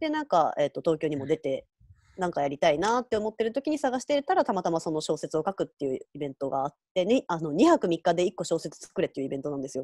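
Very fast and dry with no echo, a woman's fairly low voice has a dark, mellow tone and very wide pitch swings against a quiet background. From Hyogo, Kansai, Japan; Hyogo, Japan. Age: 20s. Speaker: writer; interview guest. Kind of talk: interview. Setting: online live interview. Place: home room. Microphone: earbuds.

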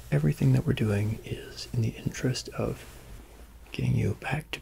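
Soft-spoken and soothing in tone, a man talks at a moderate pace with light noise in the background. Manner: soft, soothing ASMR voice. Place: home room. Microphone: phone near.

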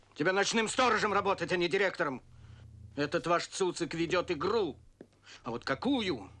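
Using a put-on character voice, a man speaks at a moderate pace in a high, bright, sharp tone with lively intonation.

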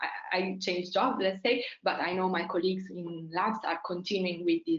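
A woman at a fairly low pitch and moderate pace

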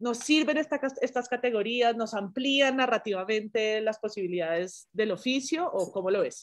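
A woman with an unremarkable speaking voice talks at a fairly high pitch and moderate pace with ordinary pitch variation. She leaves hardly any pauses, and the background is quiet. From Colombia. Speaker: journalism professor. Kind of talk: interview conversation. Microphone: video call.

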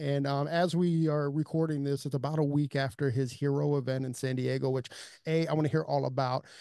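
A man at a fairly quick pace, with a quiet background and a dry sound with no echo. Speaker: podcast host. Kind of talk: podcast intro chat. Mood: upbeat, enthusiastic. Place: studio. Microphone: studio mic.

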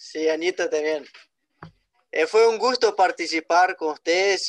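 Ordinary pitch variation marks the man's speech against a quiet background. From Brazil. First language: Portuguese (speaking Spanish). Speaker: event organizer. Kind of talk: live stream chat. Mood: friendly, thankful. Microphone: video call.

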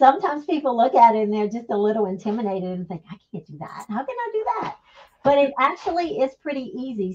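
A woman talks at a fairly quick pace. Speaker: guest. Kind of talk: interview answer. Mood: cheerful, enthusiastic.

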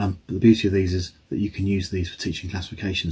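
A man's fairly low voice comes across as somewhat breathy. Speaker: science teacher. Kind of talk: tutorial. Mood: cheerful, light humor. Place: home room. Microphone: phone near.

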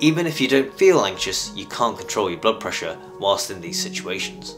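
A man talks at a fairly quick pace while clear music plays in the background. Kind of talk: health explainer to camera. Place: home room.

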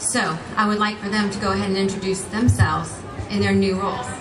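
A woman's voice is heard. Noticeable noise runs in the background. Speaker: pageant emcee. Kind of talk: ceremony announcement. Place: stage. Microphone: pa.

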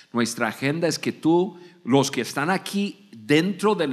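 A man speaks with an American accent. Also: quiet background. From United States. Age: 60s. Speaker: podcast host. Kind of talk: live podcast talk. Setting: studio with live audience. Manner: halting, repeats words. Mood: warm, motivating. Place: stage. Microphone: studio mic.

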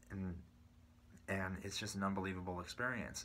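With an American accent and a fairly low pitch, a man speaks in a bright, sharp tone over light background noise. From US West Coast, San Bruno, California. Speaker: drummer and YouTuber. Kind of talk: personal story monologue. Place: home room. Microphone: phone near.

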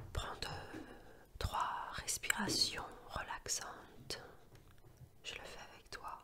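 A woman whispers in a calm tone at a very slow pace, with long, frequent pauses and big swings in loudness, over noticeable background noise. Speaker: sophrology and hypnosis practitioner who reads ASMR tales. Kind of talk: friendly direct address to the listener before the story. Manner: whispered, soft, calm, relaxing.

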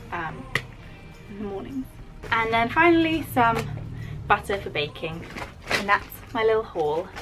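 Over clear background music, a woman speaks at a moderate pace. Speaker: vlogger. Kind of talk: casual vlog chat. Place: home room. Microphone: phone near.

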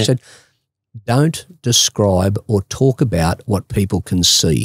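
A man with an Australian accent talks very slowly at a fairly low pitch, somewhat breathy, with lively intonation and very even loudness. The sound is dry with no echo, and the background is quiet. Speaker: radio presenter and mental health advocate. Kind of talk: interview answer. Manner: conversational, reflective. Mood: reflective, candid about bipolar. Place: studio. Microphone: studio mic.

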